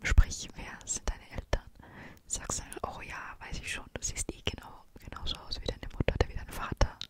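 Over loud background noise, a woman talks at a moderate pace in a dry sound with no echo. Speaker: vlogger. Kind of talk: casual vlog chat. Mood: relaxed, chatty. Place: home room. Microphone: studio mic.

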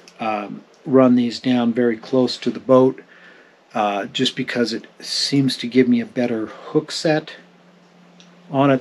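Light background noise sits behind a man's voice. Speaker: fishing channel host. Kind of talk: tutorial. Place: boat. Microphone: camera far.

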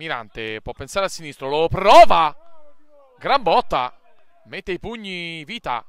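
Using an animated tone at a fairly slow pace, a man with a high pitch speaks with long, frequent pauses, very wide pitch swings and big swings in loudness. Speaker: match commentator. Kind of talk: live football commentary, delivered like a stadium announcer. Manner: animated, punchy, with exclamations and short staccato phrases.

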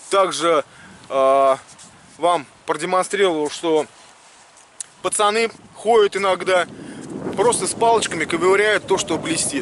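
Speaking at a fairly slow pace, a man with a high pitch uses ordinary pitch variation and long, frequent pauses. The sound is dry with no echo, with light background noise. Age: 30s. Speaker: metal detecting video blogger. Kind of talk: tutorial. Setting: outdoors on a beach. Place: beach. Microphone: phone near.

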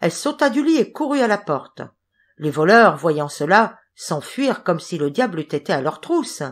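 The pitch swings very widely in an animated tone at a moderate pace. The recording is very clean, with a silent background. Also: woman, medium pitch for a woman. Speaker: audiobook narrator. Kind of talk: dramatic fairy-tale narration, reading aloud. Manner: animated, expressive, shifts voices between characters; storytelling pace, suspenseful.

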